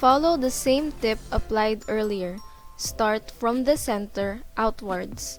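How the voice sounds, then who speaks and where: A woman's fairly high voice at a very slow pace, with ordinary pitch variation and music in the background. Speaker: dressmaking student. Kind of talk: sewing tutorial narration.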